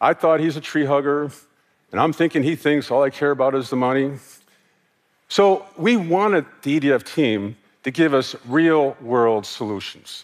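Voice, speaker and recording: A man with a normal speaking voice talks at a moderate pace in an American accent. His pitch is fairly high and his intonation lively. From United States. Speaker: former corporate sustainability executive. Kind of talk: conference talk.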